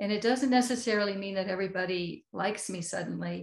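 A woman's voice, an ordinary speaking voice, with ordinary pitch variation. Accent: American. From United States. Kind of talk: interview.

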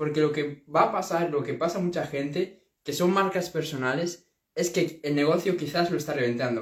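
In an animated tone, a man speaks at a fairly high pitch and moderate pace with ordinary pitch variation. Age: young. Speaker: entrepreneur YouTuber. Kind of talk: casual vlog monologue.

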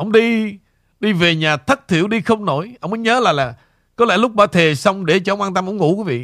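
With ordinary pitch variation, the text is read aloud in a natural voice over a quiet background.

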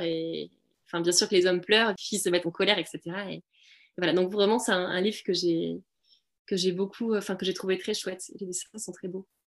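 Her medium-pitched voice moving at a fairly quick pace, a woman speaks with fairly even intonation. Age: 30s. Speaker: primary school teacher and podcast co-founder. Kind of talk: casual interview. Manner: hesitant, many fillers.

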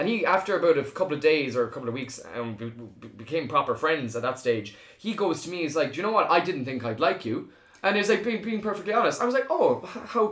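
Very wide pitch swings mark this very fast speech in an Irish accent. Noticeable background noise is present. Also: man. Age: 20s. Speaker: video content creator. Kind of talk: casual chat.

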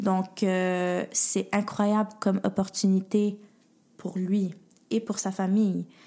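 Very slowly, a woman talks at a medium pitch with a dark, mellow tone. Her intonation is monotone and flat. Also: very clean recording, silent background. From Montreal, with teens in Paris and Ottawa. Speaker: project manager in social gastronomy. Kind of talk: casual chat.

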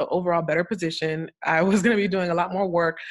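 A woman speaks with an animated tone at a fairly quick pace. Her pitch is fairly low. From Florida. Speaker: cybersecurity consultant. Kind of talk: casual interview. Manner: animated, laughs often.

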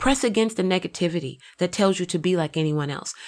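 On a very clean recording with a silent background, a woman with an ordinary speaking voice talks at medium pitch with lively intonation. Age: 40s. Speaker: motivational podcast host. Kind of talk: motivational monologue.

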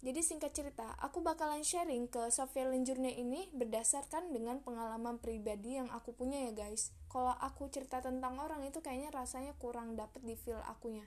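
A woman speaks at a fairly quick pace in a high pitch, with ordinary pitch variation and hardly any pauses. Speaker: solo podcaster. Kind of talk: motivational monologue. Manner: casual, chatty; emotive, expressive.

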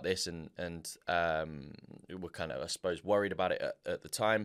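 Fairly quick and with ordinary pitch variation, a man talks in a plain, everyday voice. The very clean recording is dry and close with no echo, against a silent background. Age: 20s. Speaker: singer and racing driver. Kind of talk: casual interview.

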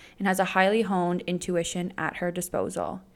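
A woman talks in a medium pitch with an animated tone. Music plays in the background. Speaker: podcast co-host. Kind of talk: casual chat.

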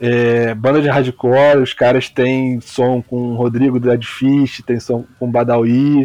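With music in the background, a man of medium pitch speaks in a Rio de Janeiro accent with monotone, flat intonation. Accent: Carioca Brazilian Portuguese. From Rio de Janeiro, West Zone (Campo Grande). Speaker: football podcaster, podcast listener. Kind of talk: casual chat.

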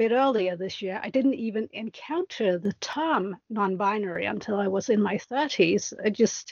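Speaking at a fairly slow pace, a woman has a fairly high pitch, ordinary pitch variation and an unremarkable speaking voice. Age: 40s. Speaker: podcast guest, fan. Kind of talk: casual chat.

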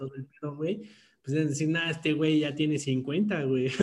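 With fairly even intonation, a man talks in a plain, everyday voice that is fairly high in pitch. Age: 20s. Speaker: podcast co-host. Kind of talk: casual chat.

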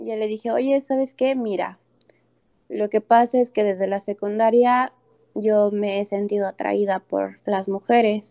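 Using fairly even intonation, a woman speaks at a fairly high pitch with a dark, mellow tone. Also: fairly slow pace, dry, close sound with no echo. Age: 20s. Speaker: podcast guest. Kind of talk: interview.

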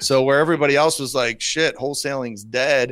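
At a fairly quick pace, a plain, everyday voice talks with an American accent. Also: man. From US Midwest, Rockford, Illinois. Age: 40s. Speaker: real estate investor. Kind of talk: interview.

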